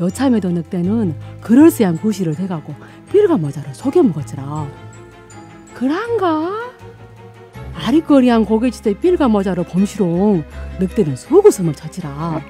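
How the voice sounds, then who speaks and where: A woman talks at a fairly slow pace with long, frequent pauses. There is music in the background. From Gwangju, South Jeolla, Korea. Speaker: non-professional voice actor. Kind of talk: fairy tale storytelling.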